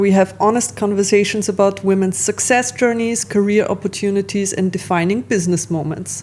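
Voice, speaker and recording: A woman speaks at medium pitch with ordinary pitch variation. Noticeable background noise is present. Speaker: podcast host. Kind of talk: podcast interview host.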